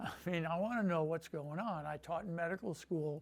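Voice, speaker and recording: A man with a high voice speaks at a fairly slow pace, his pitch varying in an ordinary way. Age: 80s+. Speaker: retired professor and surgery patient. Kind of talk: patient testimonial interview. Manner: conversational, hesitant with fillers.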